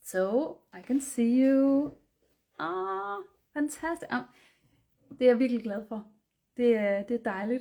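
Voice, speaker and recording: Speaking with a Danish accent at a fairly slow pace, a woman uses a dark, mellow tone and lively intonation, with big swings in loudness and long, frequent pauses, on a very clean recording with a silent background. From Denmark. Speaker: artist and art instructor. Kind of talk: live-stream painting tutorial. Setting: live stream. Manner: hesitant, many fillers.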